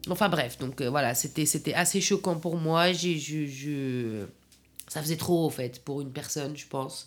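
Her pitch is very deep and low, and this woman's pitch variation is ordinary. She speaks at a fairly slow pace. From Afghanistan, Kabul; in France since age 15. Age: 40s. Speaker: caterer. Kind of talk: personal testimony. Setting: at home, in her living room. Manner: halting.

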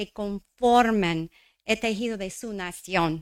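A woman speaks at a very slow pace in a bright, sharp tone. The recording is very clean, with a silent background. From New Mexico. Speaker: local politician. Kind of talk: formal speech. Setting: stage with audience. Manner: halting.

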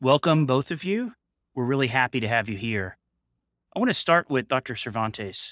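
Heard in a very clean recording with a silent background, a man with an unremarkable speaking voice talks at a medium pitch with lively intonation. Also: moderate pace, dry, close sound with no echo. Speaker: nephrologist, podcast co-host.

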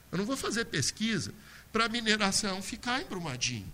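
A man with a high pitch uses a raised, projected voice. He keeps a moderate pace. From Minas Gerais, Brazil (Brumadinho). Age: 50s. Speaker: university professor, panel moderator. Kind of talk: panel discussion.

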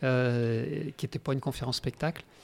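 The man, pitched in the middle range, talks at a rather quick clip. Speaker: speaker and game facilitator. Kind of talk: radio interview. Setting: radio studio.

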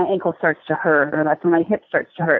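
A woman speaks at a moderate pace. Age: 40s. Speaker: sports medicine doctor. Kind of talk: interview. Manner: repetitive filler words, halting.

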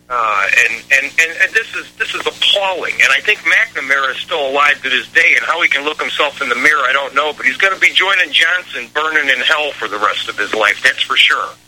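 Lively intonation and a fairly quick pace mark this speaker with an American accent, heard over noticeable background noise. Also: man, fairly high pitch for a man. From Chicago. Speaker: caller. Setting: phone call.

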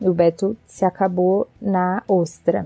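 A woman speaks with music in the background. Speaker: doctor and travel blogger. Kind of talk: recorded advice segment.

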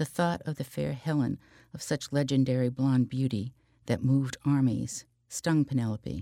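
Pitch varies in an ordinary way as the text is read aloud plainly.

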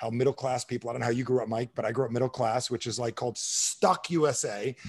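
On a very clean recording with a silent background, a medium-pitched man speaks at a very fast pace with fairly even intonation. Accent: American. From New Jersey. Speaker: sales trainer and author. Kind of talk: podcast interview.

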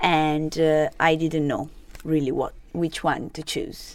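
A woman speaks with an Italian accent. Her pitch is fairly low. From Italy (Genoa, Sardinian family). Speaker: online student and restaurant worker. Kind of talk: interview. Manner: halting.

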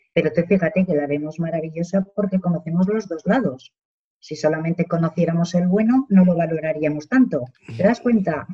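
This woman's voice has a dark, mellow tone, a somewhat breathy quality, fairly low pitch and ordinary pitch variation. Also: fairly quick pace. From Spain, Zaragoza. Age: 50s. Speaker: social worker. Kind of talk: casual interview chat.

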